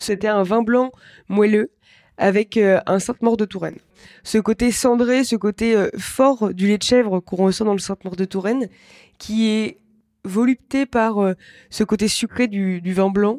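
Speaking at a fairly slow pace with long, frequent pauses, a woman with a fairly high voice keeps her intonation fairly even, the sound dry and close with no echo on a very clean recording with a silent background. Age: 20s. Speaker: chef. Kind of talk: interview testimony.

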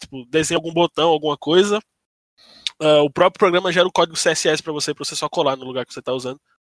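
High-pitched for a man, this voice sounds dry and close with no echo. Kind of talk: casual chat.

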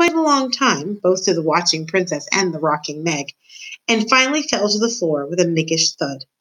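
The clip features a natural reading voice.

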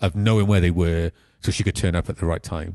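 A man's very deep, low voice in a South Wales accent, dark and mellow in tone, fairly quick, with fairly even intonation, dry and close with no echo, over a quiet background. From South Wales (Pontypool, Cwmbran). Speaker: film director. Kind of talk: casual interview.

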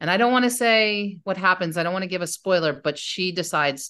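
A woman with an American accent speaks at a fairly quick pace. Her intonation is lively, and the background is quiet. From US North, mostly New Jersey. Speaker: novelist. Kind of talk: interview.

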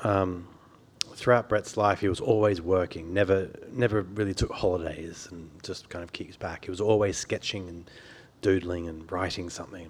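In an Australian accent, a man speaks at a moderate pace with a very deep, low pitch, fairly even intonation and big swings in loudness. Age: 40s. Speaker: journalist and biographer. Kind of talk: author talk. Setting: stage with audience.

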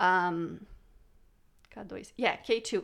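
A woman speaks with a non-native accent and fairly even intonation. The recording is very clean, with a silent background. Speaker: guest, co-host. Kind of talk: casual chat.

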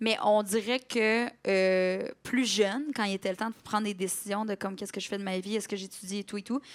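A woman in a Quebec accent speaks at a fairly quick pace and medium pitch with fairly even intonation, in a very clean recording with a silent background. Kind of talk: casual chat. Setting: stage with audience.

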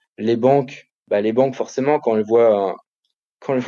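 A man speaks at a medium pitch. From France, Paris. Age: 30s. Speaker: chef and restaurateur. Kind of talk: interview conversation. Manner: halting, many repetitions.

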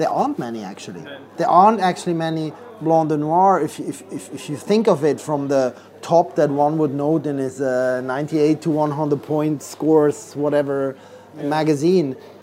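A man's fairly high voice moves at a moderate speed amid noticeable background noise. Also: ordinary pitch variation. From Switzerland. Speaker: champagne blogger. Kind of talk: casual chat. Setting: restaurant.

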